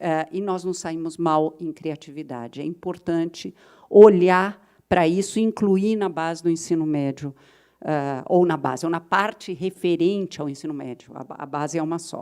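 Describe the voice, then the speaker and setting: A woman speaks with a fairly low pitch and a dark, mellow tone, her pitch variation ordinary and her loudness swinging widely. The recording is very clean, with a silent background. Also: moderate pace. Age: 60s. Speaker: education policy expert, panelist. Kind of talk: conference panel talk.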